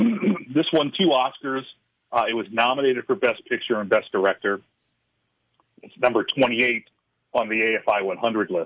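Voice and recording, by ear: A man's hoarse, put-on character voice at medium pitch, at a moderate pace, with lively intonation, big swings in loudness, and long, frequent pauses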